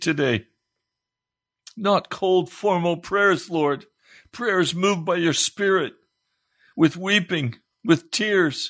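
Lively intonation rides over a very slow pace with long, frequent pauses. The background is quiet. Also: man. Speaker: radio preacher. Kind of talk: fervent prayer. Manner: urgent, impassioned, pleading.

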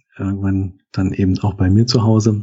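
A man's somewhat breathy voice at a fairly low pitch. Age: 40s. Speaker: IT worker and columnist. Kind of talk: casual chat. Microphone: good-sounding microphone.

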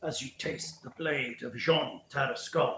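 A man uses a put-on character voice with a hissing sound. He speaks at a fairly slow pace. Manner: hissing, menacing.

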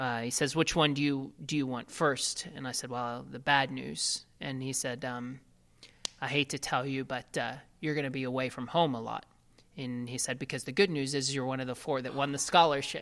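Speaking at a moderate pace with an American accent, a man uses medium pitch and fairly even intonation. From Ohio, US Midwest. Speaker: racing driver. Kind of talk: interview. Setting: at the guest's home.

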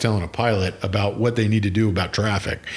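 A man speaks with an American accent at a medium pitch. Noticeable background noise runs behind him. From Pennsylvania. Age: 50s. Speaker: podcast host. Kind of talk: casual chat.

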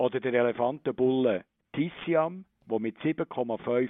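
A man at a medium pitch and a very slow pace, with ordinary pitch variation. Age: 60s. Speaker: zoo director. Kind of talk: interview. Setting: phone call.

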